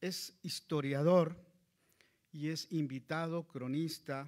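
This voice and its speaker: Against a quiet background, a man talks at a very slow pace with fairly even intonation. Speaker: local chronicler. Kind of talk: formal introduction. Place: hall. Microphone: podium.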